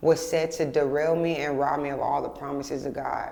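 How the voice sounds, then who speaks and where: Heard with audible room echo, a woman in an American accent speaks in a very deep, low pitch with monotone, flat intonation. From Texas, Houston area. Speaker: poet, faith testimony guest. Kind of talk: testimony.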